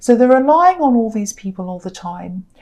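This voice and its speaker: The speaker is a woman with a high pitch and lively intonation. She keeps a moderate pace. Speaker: tarot reader. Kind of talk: tarot reading monologue. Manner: hesitant with fillers.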